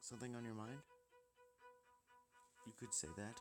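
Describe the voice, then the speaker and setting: Music plays in the background while the speaker talks at a moderate pace. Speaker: gaming video creator. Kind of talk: visual novel read-aloud.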